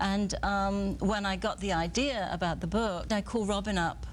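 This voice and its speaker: The speaker has a British accent, and audible room echo surrounds the voice. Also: woman. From England. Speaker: photographer and author. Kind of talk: TV interview. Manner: hesitant, many fillers.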